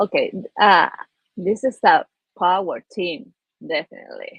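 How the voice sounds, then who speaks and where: A woman with an Argentine accent at a very slow pace. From Argentina. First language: Spanish. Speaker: peace ambassador, businesswoman. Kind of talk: panel discussion. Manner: halting, repetitive.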